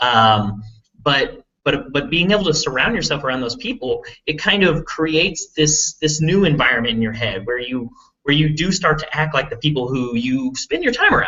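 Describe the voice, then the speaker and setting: Here a man speaks with an urban Texas accent at a moderate pace. His pitch is fairly high and swings very widely. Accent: Texas big-city. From Texas, big city. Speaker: online marketing entrepreneur. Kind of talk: live webinar presentation. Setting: live video hangout stream. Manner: casual, filler-heavy with repetitions.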